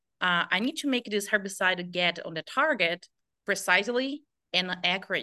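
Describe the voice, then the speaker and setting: A woman with a Brazilian accent speaks at a moderate pace over a quiet background. Her medium-pitched voice has a bright, sharp tone. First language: Portuguese. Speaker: pesticide application specialist. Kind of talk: interview answers.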